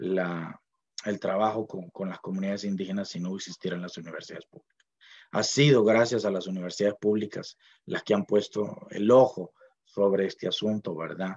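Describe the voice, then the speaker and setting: A man with a fairly low-pitched voice speaks at a moderate pace. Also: dry, close sound with no echo. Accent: Costa Rican. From Costa Rica, Puntarenas (Miramar). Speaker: university linguist, dictionary author. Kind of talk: speech at book launch. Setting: online event from home library. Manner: hesitant, many fillers.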